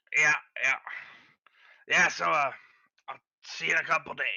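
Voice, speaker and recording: A man puts on a raspy character voice and talks at a fairly quick pace. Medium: actual play. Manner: hesitant, evasive.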